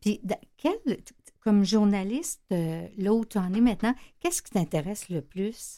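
In a Quebec accent, a woman speaks at medium pitch with a dark, mellow tone, lively intonation and big swings in loudness. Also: moderate pace. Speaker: radio host and shelter director. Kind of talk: radio interview. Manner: casual, hesitant with fillers.

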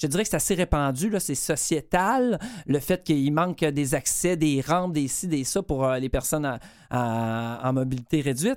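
The recording is very clean, with a silent background. The speaker talks at a moderate pace in a Quebec accent. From Quebec, Bas-Saint-Laurent. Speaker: radio columnist and comedian. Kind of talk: radio column.

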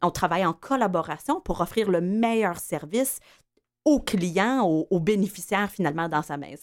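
Speaking at a moderate pace, a woman with a normal speaking voice and medium pitch uses lively intonation on a very clean recording with a silent background. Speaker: entrepreneur, home care company founder. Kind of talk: interview.

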